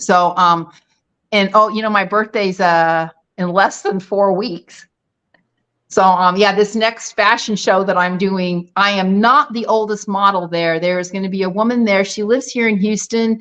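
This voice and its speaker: A woman's plain, everyday voice at medium pitch, moderate pace and fairly even intonation, against a quiet background. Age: 60s. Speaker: retired dentist and bikini competitor. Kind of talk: casual chat.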